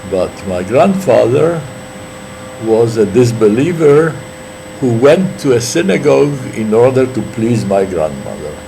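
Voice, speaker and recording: A man with a Polish accent speaks at a fairly slow pace and medium pitch, his pitch swinging very widely, with audible room echo and noticeable background noise. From Poland, Warsaw. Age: 80s+. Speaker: witness to history. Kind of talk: oral history interview. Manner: halting, with many fillers.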